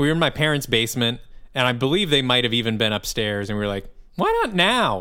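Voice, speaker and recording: A man with a Midwestern US accent. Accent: US Midwest. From Michigan, suburb of Lansing. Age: 30s. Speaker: musician and podcast co-host. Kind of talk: casual chat. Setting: remote call from a hotel lobby.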